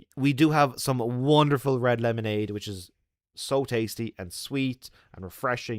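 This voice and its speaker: A medium-pitched man with an Irish accent, moderate pace, ordinary pitch variation and big swings in loudness, on a very clean recording with a silent background. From Ireland. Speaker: travel vlogger. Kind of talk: livestream chat.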